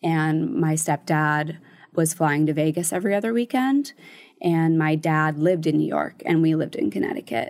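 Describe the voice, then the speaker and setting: Against a silent background on a very clean recording, a woman with an American accent and an ordinary speaking voice talks at a moderate pace with lively intonation and very even loudness. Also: fairly low pitch for a woman. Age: 20s. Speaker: charity founder and CEO. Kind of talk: casual interview chat.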